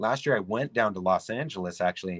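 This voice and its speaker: A man with a Canadian accent and a very deep, low pitch at a fairly quick pace, dry and close with no echo, on a very clean recording with a silent background. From Canada, Toronto. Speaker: artist. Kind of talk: casual chat.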